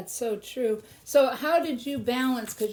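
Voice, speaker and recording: A woman speaks in an unremarkable speaking voice with ordinary pitch variation. Her pace is moderate. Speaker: artist and painting channel host. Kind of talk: interview questions.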